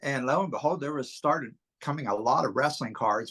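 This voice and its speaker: With a bright, sharp tone and ordinary pitch variation, a man speaks at a fairly high pitch over a quiet background. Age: 60s. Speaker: wrestling card collector. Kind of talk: casual interview.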